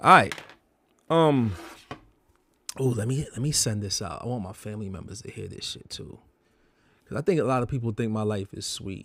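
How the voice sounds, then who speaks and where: A man speaks at a moderate pace and medium pitch, in a bright, sharp tone with ordinary pitch variation. There are big swings in loudness and long, frequent pauses. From Bronx, New York (born Jamaica, moved at 5). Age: 40s. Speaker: tattoo artist. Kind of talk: personal vlog monologue. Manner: casual, rambling with many fillers.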